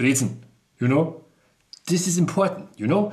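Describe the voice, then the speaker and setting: Enthusiastic man in a Bavarian accent, fairly high pitch, lively intonation, vocal fry and audible room echo. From Bavaria, Chiemgau. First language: German (Bavarian). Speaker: food video creator. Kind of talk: casual food presentation. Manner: enthusiastic, repetitive; hesitant non-native phrasing.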